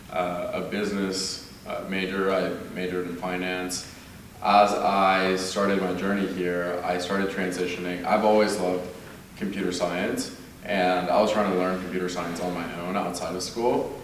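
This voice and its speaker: A man with an American accent speaks at a moderate pace in a very deep, low pitch and a monotone, flat intonation. Audible room echo and noticeable background noise surround him. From Mexico (Monterrey), grew up in Austin, Texas from age ten. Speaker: university alumnus panelist. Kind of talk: panel discussion self-introduction.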